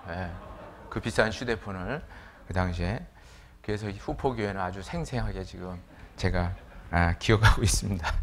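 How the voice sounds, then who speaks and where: A man speaks at a moderate pace with ordinary pitch variation, and audible room echo surrounds him. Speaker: preacher. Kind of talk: sermon. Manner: casual, with many fillers.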